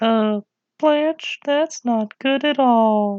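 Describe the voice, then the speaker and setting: Pitched high for a woman, her voice is a put-on character voice. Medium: comedy sketch.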